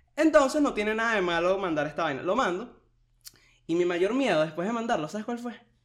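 Speaking in a Caracas accent, a man talks at a very fast pace with lively intonation and a high pitch. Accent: Venezuelan Spanish (Caracas). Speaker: podcast co-host. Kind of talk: casual chat.

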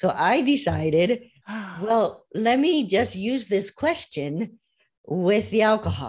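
A woman's very slow, medium-pitched voice with an American accent, vocal fry, very wide pitch swings and very even loudness. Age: 60s. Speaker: life coach. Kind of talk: interview.

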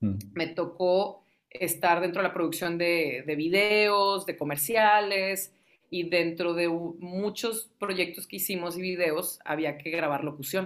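A woman speaks at a very slow pace in a fairly low pitch. Her pitch varies an ordinary amount. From Tamaulipas, Mexico. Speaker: radio host and music lover. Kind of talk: casual interview chat.

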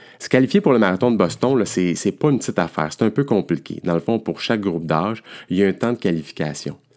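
A man's fairly low voice in a Quebec accent, very fast and with lively intonation. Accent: Québécois French. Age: 50s. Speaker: endurance coach. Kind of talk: podcast monologue.

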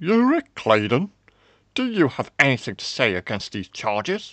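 A put-on character voice with very wide pitch swings and a fairly bright tone moves at a fairly slow pace, in a dry, close sound with no echo. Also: man, medium pitch for a man.

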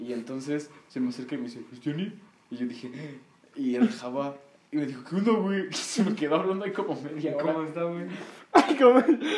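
Noticeable background noise surrounds a man with a fairly high pitch. He speaks at a fairly quick pace with very wide pitch swings. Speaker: guest. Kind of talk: casual chat.

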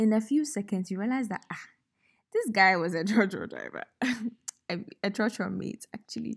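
A woman with a Ghanaian accent speaks at medium pitch and a moderate pace, with lively intonation and a warm, playful tone. Her voice is somewhat breathy, on a very clean recording with a silent background. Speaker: podcast host. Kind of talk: casual, faith-based reflection. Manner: storytelling, warm, playful.

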